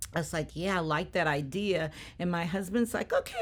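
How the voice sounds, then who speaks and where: The woman talks at a moderate pace in an animated tone. The recording is very clean, with a silent background. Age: 60s. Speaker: retired educator. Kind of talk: casual chat.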